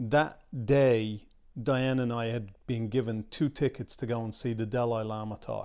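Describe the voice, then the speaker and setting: An ordinary speaking voice: a man at medium pitch, fairly slow pace, and fairly even intonation. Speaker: film producer. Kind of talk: interview.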